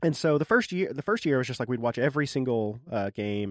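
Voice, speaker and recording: A man talks at a very fast pace with lively intonation. The sound is dry and close, with no echo. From Arkansas. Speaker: podcast host and sound designer. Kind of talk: casual interview chat.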